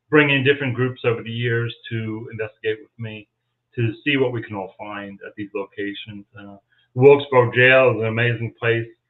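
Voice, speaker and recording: This man's voice sits at a medium pitch. He talks at a moderate speed with monotone, flat intonation. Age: 60s. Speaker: paranormal investigator and local historian. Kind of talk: interview on a live stream.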